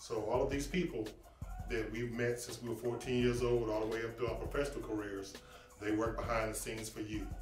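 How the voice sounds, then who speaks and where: Music plays behind speech that moves fairly briskly. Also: man. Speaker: sports recruiter, former athlete. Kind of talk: promotional talk to camera. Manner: enthusiastic, conversational.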